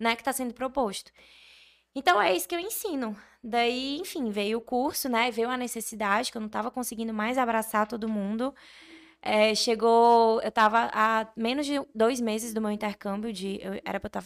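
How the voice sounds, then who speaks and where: A woman with a plain, everyday voice speaks at a fairly high pitch with ordinary pitch variation. Her moderate pace comes through on a very clean recording with a silent background. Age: 20s. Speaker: architect and online course creator. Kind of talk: casual interview.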